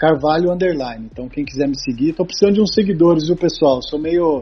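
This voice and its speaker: A man speaks in a somewhat breathy voice, his pitch varying in an ordinary way. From Brazil, Taubaté (São Paulo state). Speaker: sports psychologist. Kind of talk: casual interview chat. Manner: hesitant with repetitions.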